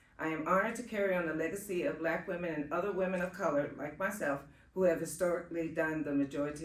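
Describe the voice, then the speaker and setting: A woman's very deep, low voice with ordinary pitch variation and audible room echo. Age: 60s. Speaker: home care worker. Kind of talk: testimony. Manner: halting.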